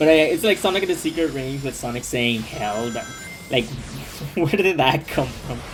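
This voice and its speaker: The speaker moves along at a moderate pace. Noticeable background noise runs underneath. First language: not English. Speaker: gaming YouTuber. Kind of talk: gameplay commentary. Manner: halting, many repetitions and fillers; casual.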